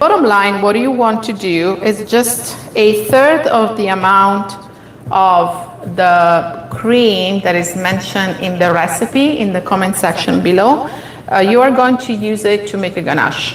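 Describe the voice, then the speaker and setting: Heard with audible room echo and noticeable background noise, a woman talks at a fairly slow pace with lively intonation. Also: medium pitch for a woman. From Italy, Molise (central-south). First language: Italian. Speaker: baking instructor. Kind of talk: live cooking tutorial.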